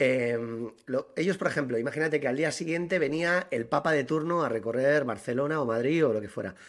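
An ordinary speaking voice from a man, fairly high in pitch, at a fairly quick pace with ordinary pitch variation. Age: 40s. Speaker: podcast co-host. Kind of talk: casual chat.

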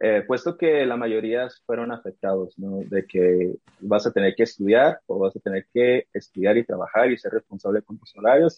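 At a medium pitch and moderate pace, a man speaks with ordinary pitch variation. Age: 20s. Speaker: sports marketing entrepreneur. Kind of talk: interview. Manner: halting.

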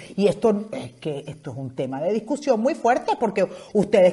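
A woman speaks at a moderate pace with very wide swings in pitch. Her tone is animated. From Venezuela (Zulia roots, born in Caracas). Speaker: podcast host. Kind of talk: casual comedic monologue.

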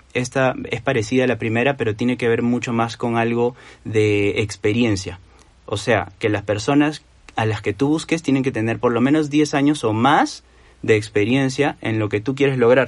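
At a moderate pace, a man talks in an unremarkable speaking voice with ordinary pitch variation. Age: 30s. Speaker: doctor and entrepreneur talking about personal finance. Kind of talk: casual interview.

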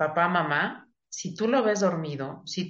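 In a room with audible echo, a woman with a fairly low voice speaks fairly slowly with lively intonation. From Mexico City. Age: 40s. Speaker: psychiatrist. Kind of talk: interview.

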